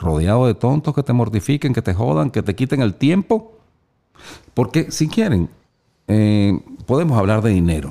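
A man's dark, mellow voice at a fairly low pitch, with very wide pitch swings and a moderate pace. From Venezuela. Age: 50s. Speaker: motivational speaker and voice-over announcer. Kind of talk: casual interview. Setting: studio. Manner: animated.

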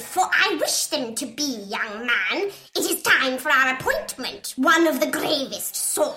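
A put-on character voice, female-sounding and high in pitch, at a fairly slow pace over clear background noise. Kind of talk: theatrical prophetic speech. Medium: audio drama. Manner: archaic, solemn, portentous.

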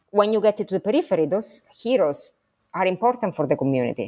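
A woman speaks with an Italian accent. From Sicily, Italy. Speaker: history professor. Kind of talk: interview.

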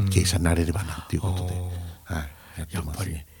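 Fairly even intonation comes from a man with a very deep, low pitch. His voice is somewhat breathy. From Japan, Sendai (Miyagi). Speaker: company president. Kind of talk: radio interview.

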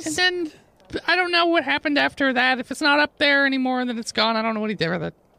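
This put-on character voice sits at a high pitch and races along at a very fast pace. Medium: actual play. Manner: flustered, exasperated.

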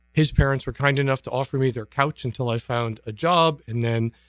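An ordinary speaking voice from a man with a medium pitch and an American accent, at a fairly quick pace, in a dry, close sound with no echo and a very clean recording with a silent background. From northern Michigan. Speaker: fitness professional. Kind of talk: interview. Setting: radio studio.

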